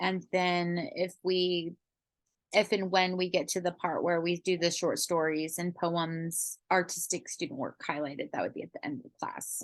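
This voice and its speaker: A woman's fairly low-pitched, ordinary speaking voice at a moderate pace, with ordinary pitch variation. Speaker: astrology coach and teacher. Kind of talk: lecture.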